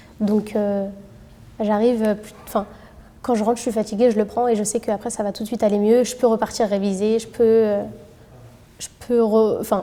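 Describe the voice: Dark and mellow in tone, a woman speaks at a moderate pace with little pitch movement. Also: medium pitch for a woman.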